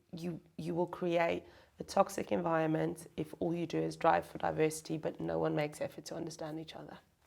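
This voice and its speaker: A woman speaks at a fairly quick pace, her loudness rising and falling in big swings. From South Africa. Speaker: chief people officer, HR executive. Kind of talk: interview, conversational.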